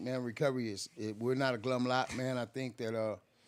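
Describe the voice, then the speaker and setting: This man has an unremarkable speaking voice. He talks at a moderate pace and a medium pitch. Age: 60s. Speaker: person in recovery. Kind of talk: casual chat.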